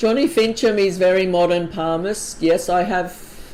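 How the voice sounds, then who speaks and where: Speaking at a fairly slow pace, a woman with a fairly low pitch and ordinary pitch variation is heard in a room with audible echo. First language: not English. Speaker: palm reader. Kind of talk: live stream Q&A. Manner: casual, hesitant with fillers.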